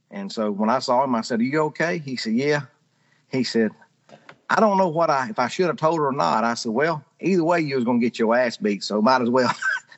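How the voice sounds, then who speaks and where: A man with a strong Southern US accent speaks at medium pitch. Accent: strong Southern drawl. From rural Georgia, US South. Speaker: storyteller, pharmaceutical sales rep. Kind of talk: casual storytelling.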